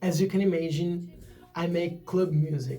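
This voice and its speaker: Music plays in the background and room echo is audible as a man speaks in an Italian accent. His high-pitched voice is monotone and flat, at a fairly slow pace. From northern Italy, Turin. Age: 20s. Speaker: DJ and music producer. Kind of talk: channel introduction. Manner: hesitant, with fillers.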